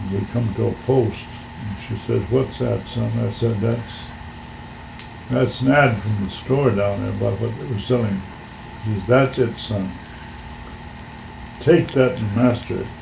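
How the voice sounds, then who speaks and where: A man with an American accent, fairly low in pitch, at a fairly slow pace with long, frequent pauses, over noticeable background noise. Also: ordinary pitch variation. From Washington State, USA. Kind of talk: oral history interview answer.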